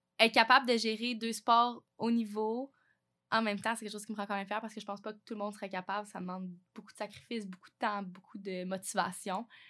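In a very clean recording with a silent background, a woman speaks very fast at a medium pitch, her tone bright and sharp and her intonation monotone and flat. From Quebec, Vaudreuil-Soulanges (Montérégie). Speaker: university athlete. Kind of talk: interview.

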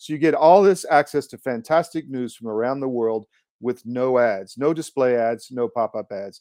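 A man with a normal speaking voice, medium pitch and ordinary pitch variation, at a moderate pace, in a dry, close sound with no echo and a quiet background. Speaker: podcast host. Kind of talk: interview.

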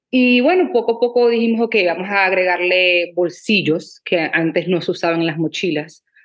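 This woman has an ordinary speaking voice, talking at a moderate pace with ordinary pitch variation, hardly any pauses and very even loudness. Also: medium pitch for a woman. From Venezuela, Maracaibo. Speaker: entrepreneur and influencer. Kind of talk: interview, casual chat.

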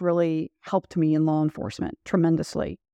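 In a dry, close recording with no echo and a quiet background, a woman speaks with a slight Southern US accent. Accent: slight Southern drawl. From Louisville, Kentucky. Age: 60s. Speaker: retired police chief. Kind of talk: interview.

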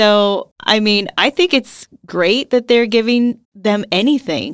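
A woman with an unremarkable speaking voice talks fairly slowly in a fairly high pitch, with ordinary pitch variation. The sound is dry and close with no echo, on a very clean recording with a silent background. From United States. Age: 40s. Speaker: former teacher and blogger. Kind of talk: casual interview.

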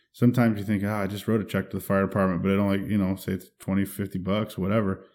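The recording is very clean, with a silent background. A man with an American accent speaks at a fairly low pitch in flat, monotone intonation. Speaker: fire captain. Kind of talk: casual chat.

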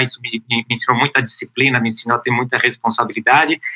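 A man with a medium pitch rattles along at a very fast pace. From São Paulo, Brazil. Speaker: startup founder. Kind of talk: interview.

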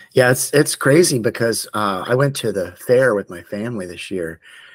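A man speaks in an ordinary speaking voice with an American accent and lively intonation. His pace is moderate, and the recording is very clean with a silent background. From Florida (Tallahassee). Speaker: tattoo artist and shop owner. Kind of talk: casual chat.

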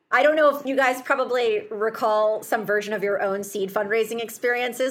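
Over noticeable background noise, a woman with an American accent and a fairly high pitch talks at a fairly quick pace. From US Midwest, Chicago. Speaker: healthcare startup founder. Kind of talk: interview.

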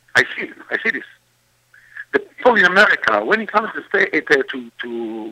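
A man with an Israeli accent is heard in a dry, close sound with no echo. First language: Hebrew. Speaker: singer and composer. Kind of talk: interview. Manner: halting.

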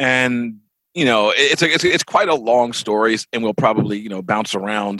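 In an American accent, a man speaks at a moderate pace and medium pitch, his bright, sharp tone showing ordinary pitch variation in a dry, close sound with no echo. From Baltimore, Maryland, US. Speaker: comics and TV writer. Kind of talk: interview.

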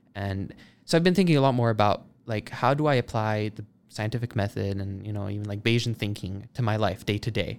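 With music in the background, a man of fairly low pitch speaks at a fairly quick pace. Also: ordinary pitch variation. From Italy. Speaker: software engineer and AI researcher. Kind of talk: casual interview.

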